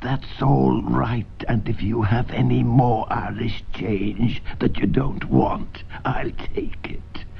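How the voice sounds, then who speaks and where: A man's whispered, put-on character voice at a very slow pace, with clear background noise. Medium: read story. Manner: kind, polite asking.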